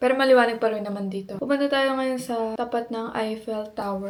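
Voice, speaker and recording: Amid noticeable background noise, a woman speaks at a fairly quick pace with a fairly high pitch. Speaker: travel vlogger. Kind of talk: travel vlog narration. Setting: outdoors. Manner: loud.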